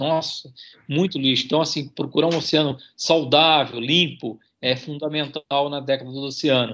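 With a fairly high pitch and fairly even intonation, a man is talking. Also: moderate pace. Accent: Santa Catarina. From Santa Catarina, Brazil (Itajaí). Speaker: university professor and marine conservation researcher. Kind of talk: radio interview. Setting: remote radio interview.

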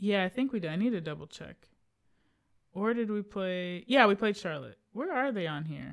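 A woman with an unremarkable speaking voice talks at a moderate pace and medium pitch. Her intonation is lively. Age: 30s. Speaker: sports podcast co-host. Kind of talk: casual chat. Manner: laughs often.

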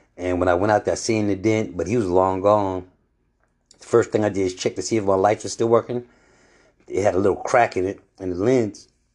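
A man's fairly low voice at a fairly quick pace, with long, frequent pauses, fairly even intonation and a quiet background. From New York. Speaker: podcast host. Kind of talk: casual monologue.

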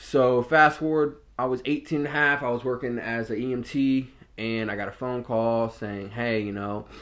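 Speaking with an American accent against a quiet background, a man talks at a fairly slow pace with ordinary pitch variation. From Norfolk, Virginia, US. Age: 20s. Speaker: podcast host, former jail officer. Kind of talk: casual personal storytelling monologue. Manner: casual, with frequent fillers and repetitions.

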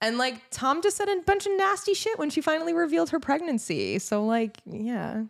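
A woman talks in a high pitch with very wide pitch swings and hardly any pauses. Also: moderate pace. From New Jersey. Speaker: podcast co-host. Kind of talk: casual chat.

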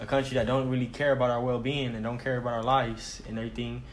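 Delivered at a very fast pace in a flat monotone, the voice carries audible room echo and noticeable background noise. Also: man. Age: 20s. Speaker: podcast co-host. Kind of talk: casual chat.

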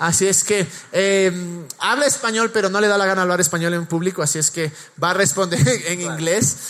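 A man's voice with noticeable background noise. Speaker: pastor. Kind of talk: church service interview; sermon.

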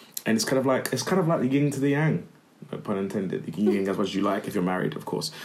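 Over noticeable background noise, a man talks at a very fast pace. His medium-pitched voice swings very widely in pitch. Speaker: podcast host. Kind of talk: casual chat.

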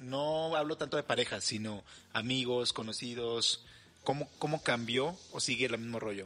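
A man speaks in a plain, everyday voice. His pitch variation is ordinary and his pace moderate. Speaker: podcast host. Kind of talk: casual chat.

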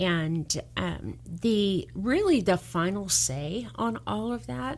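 This very clean recording of a woman has a silent background. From Southern California. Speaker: mortgage lender. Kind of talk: radio interview.

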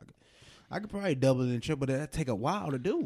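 A man with a dark, mellow tone and vocal fry, at a very fast pace. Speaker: podcast host. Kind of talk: casual banter.

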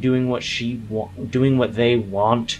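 Clear background noise runs behind the speaker. A put-on character voice comes through growling. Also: man. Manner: bitter, manipulative, seductive.

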